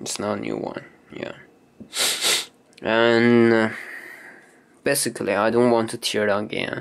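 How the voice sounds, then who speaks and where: A man with a non-native accent, medium pitch, a flat monotone delivery and long, frequent pauses. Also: fairly slow pace. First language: not English. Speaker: camera hobbyist demonstrating lens teardown. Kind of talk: informal tutorial. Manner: halting, hesitant; apologetic.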